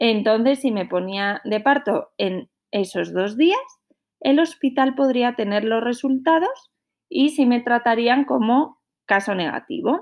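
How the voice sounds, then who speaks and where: A woman's high voice with lively intonation at a very slow pace. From northern Spain, Santander. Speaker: podcaster, mother. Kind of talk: personal storytelling.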